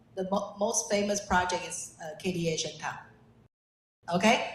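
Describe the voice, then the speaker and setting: A woman's somewhat breathy, medium-pitched voice with ordinary pitch variation comes through with audible room echo. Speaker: real estate developer. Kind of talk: self-introduction at networking event. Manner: halting.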